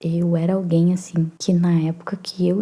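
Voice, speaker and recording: At a fairly slow pace, a soft-spoken woman talks in a calm, dark, mellow tone with a fairly low pitch. Her voice is somewhat breathy. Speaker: psychoanalyst and writer. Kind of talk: soft-spoken ASMR reflective talk. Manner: soft-spoken, calm.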